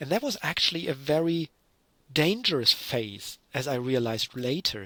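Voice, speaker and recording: With a German accent, a man talks in a bright, sharp tone and lively intonation, the sound dry and close with no echo. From Germany. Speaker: university lecturer. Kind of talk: lecture.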